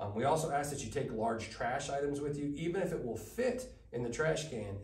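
Room echo is audible as a man talks at a moderate speed. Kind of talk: briefing presentation. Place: meeting room.

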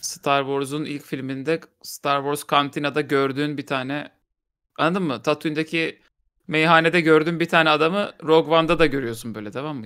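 Against a quiet background, a man with a bright, sharp tone talks fairly quickly, his loudness swinging widely. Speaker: podcast co-host. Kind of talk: casual podcast discussion. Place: home room. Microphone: headset.

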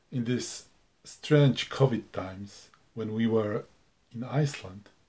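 Somewhat breathy and dark, mellow in tone, a man with a non-native accent speaks at a medium pitch with ordinary pitch variation. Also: long, frequent pauses. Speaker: hiker. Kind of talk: travel vlog narration.

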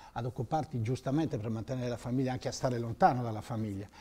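Somewhat breathy and dark, mellow in tone, a man speaks at a medium pitch with ordinary pitch variation. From Sardinia, Sassari area; Sardinia. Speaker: former telecom manager; interview guest. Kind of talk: interview. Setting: TV studio. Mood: relaxed, smiling. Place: studio. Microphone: lapel.

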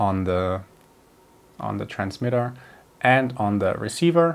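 Speaking at a very slow pace, a man uses a fairly low pitch. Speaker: gear reviewer. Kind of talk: tutorial. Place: home room. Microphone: lapel.

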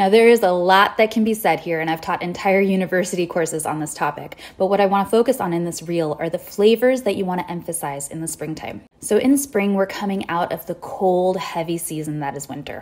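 Speaking at a fairly quick pace, a woman shows ordinary pitch variation. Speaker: wellness educator. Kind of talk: educational social media talk. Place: home room. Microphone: phone near.

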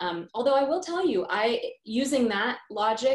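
With ordinary pitch variation, a woman speaks against a quiet background with audible room echo. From South India heritage, grew up as immigrant in US. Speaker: pediatrician and professor. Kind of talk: interview conversation. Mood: thoughtful, engaged. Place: home room. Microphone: video call.

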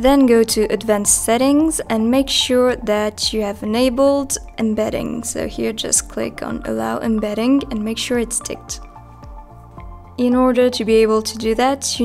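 A woman keeps a moderate pace. Behind her, music is playing. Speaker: company tutorial presenter. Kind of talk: software tutorial narration.

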